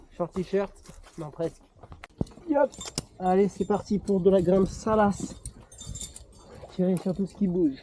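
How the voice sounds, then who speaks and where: A man's high-pitched voice at a fairly slow pace, with ordinary pitch variation and long, frequent pauses. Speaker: climber filming a climbing trip. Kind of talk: casual chat while climbing. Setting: outdoors on a rock face.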